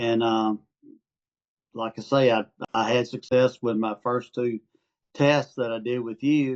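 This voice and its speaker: With an Arkansas accent, a man talks at a fairly slow pace in a monotone, flat intonation, leaving long, frequent pauses. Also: medium pitch for a man. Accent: Southern US accent (Arkansas). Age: 70s. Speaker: retired private investor, client. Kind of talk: casual interview. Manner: hesitant, many fillers.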